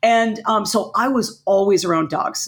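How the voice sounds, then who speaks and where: Heard on a very clean recording with a silent background, a woman speaks in an energetic tone at a fairly slow pace. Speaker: violinist and music teacher. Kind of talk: interview.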